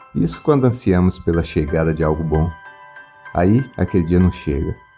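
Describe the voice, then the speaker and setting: A man's very deep, low voice with ordinary pitch variation over music in the background. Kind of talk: documentary narration.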